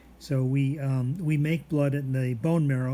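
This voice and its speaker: A man's somewhat breathy, monotone voice at medium pitch, with flat intonation and audible room echo. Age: 70s. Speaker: biology instructor. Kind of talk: lecture. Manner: halting, many fillers.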